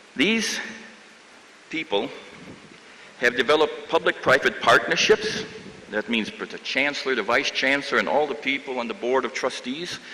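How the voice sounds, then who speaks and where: With a Midwestern accent and lively intonation, the speaker keeps a moderate pace with long, frequent pauses amid noticeable background noise. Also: man, fairly high pitch for a man. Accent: American Midwest. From US Midwest, Chicago. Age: 70s. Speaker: professor. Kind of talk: commencement speech.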